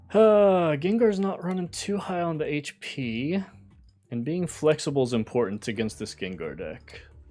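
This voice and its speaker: Moderate pace from a man with an American accent, fairly high pitch, very wide pitch swings and a dark, mellow tone. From US, West Virginia. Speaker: gaming streamer. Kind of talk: live gameplay commentary. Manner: casual, thinking aloud with hesitations.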